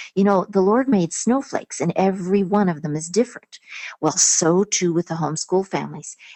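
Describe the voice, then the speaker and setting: A woman with an ordinary speaking voice talks at a fairly quick pace and medium pitch with lively intonation. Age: 60s. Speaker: homeschool speaker and author. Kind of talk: webinar interview. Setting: webinar.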